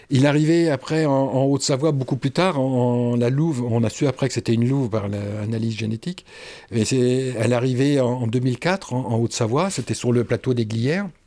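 At a moderate pace and medium pitch, a man speaks in a dark, mellow tone with very even loudness and ordinary pitch variation, on a very clean recording with a silent background. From Paris region, Oise. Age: 60s. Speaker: retired forester. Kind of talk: interview. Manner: halting, repeats words.

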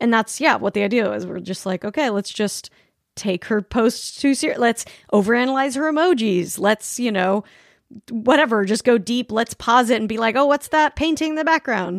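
A plain, everyday voice from a woman with an American accent, fairly high pitch and lively intonation at a moderate pace, the sound dry and close with no echo. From Utah, Salt Lake City. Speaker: podcast host. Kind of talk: casual chat.

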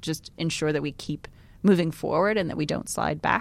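A woman with an American accent speaks fairly quickly in an ordinary speaking voice, with ordinary pitch variation. The recording is very clean, with a silent background. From New York. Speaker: podcast host. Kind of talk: casual chat. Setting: studio.

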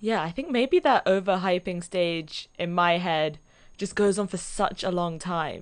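The speaker has a London accent and talks at a fairly slow pace with ordinary pitch variation. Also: woman, medium pitch for a woman. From London, England. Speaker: podcast guest. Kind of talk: casual chat.

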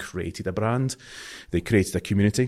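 A man speaks in a strong Scottish accent. The recording is very clean, with a silent background. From Scotland. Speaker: marketing agency owner. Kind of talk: interview conversation.

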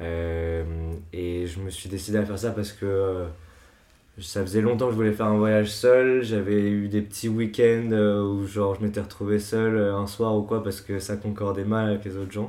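A man's fairly low, dark, mellow voice at a moderate pace with monotone, flat intonation. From France, Paris. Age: 20s. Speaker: music artist manager. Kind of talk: casual chat.

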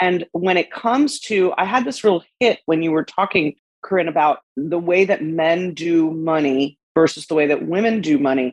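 A woman speaks in an unremarkable speaking voice. Her pitch is fairly low, with ordinary pitch variation. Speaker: podcast host. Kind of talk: casual interview chat.

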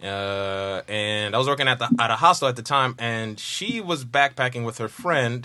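A man speaks in an animated, bright, sharp tone at a medium pitch with ordinary pitch variation. He keeps a moderate pace with hardly any pauses. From New York (Harlem). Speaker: comedian. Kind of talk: casual chat.

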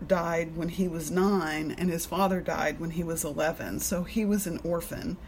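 A woman's normal speaking voice with an American accent, fairly low in pitch, at a fairly slow pace with ordinary pitch variation. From Alabama, US South. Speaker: recovery meeting speaker sharing her story. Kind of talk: personal testimony. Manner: casual, filler-heavy.

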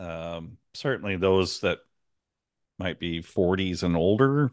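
Speaking fairly slowly in an ordinary speaking voice, a man uses lively intonation against a quiet background. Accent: American. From US Pacific Northwest, Astoria, Oregon. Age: 50s. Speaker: woodturner, podcast co-host. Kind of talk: casual chat.

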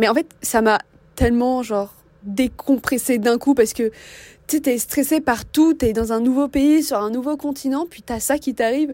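At a moderate pace, a woman speaks in a high-pitched voice with a dark, mellow tone, ordinary pitch variation and big swings in loudness. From France. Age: young. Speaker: student. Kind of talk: casual chat.

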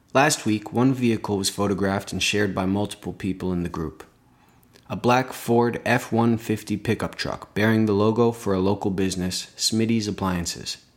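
Using a plain, everyday voice, a man with a Canadian accent speaks at a moderate pace, his fairly low pitch held in fairly even intonation. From Belleville, Ontario, Canada. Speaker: podcast host. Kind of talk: scripted narration.

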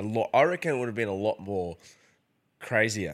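A man with an Australian accent on a very clean recording with a silent background. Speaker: podcast host. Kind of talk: casual interview.

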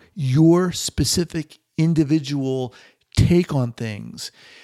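A man with an American accent speaks at a fairly high pitch with a dark, mellow tone and ordinary pitch variation. The recording is very clean with a silent background, and the sound is dry and close with no echo. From New York. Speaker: psychologist and podcast host. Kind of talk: interview.

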